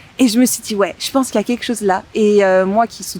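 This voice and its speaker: Over noticeable background noise, a woman with a fairly high voice talks at a fairly quick pace. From southern France (Montpellier). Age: 20s. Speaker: wedding planner. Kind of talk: casual podcast interview. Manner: hesitant, many fillers.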